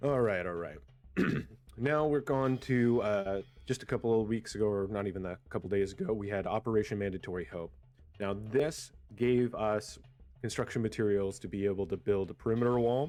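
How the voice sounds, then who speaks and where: Fairly quick, dark and mellow speech from a man, fairly low-pitched with ordinary pitch variation, in a quiet background. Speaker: gaming community leader. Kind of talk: roleplay community briefing. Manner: hesitant, many fillers.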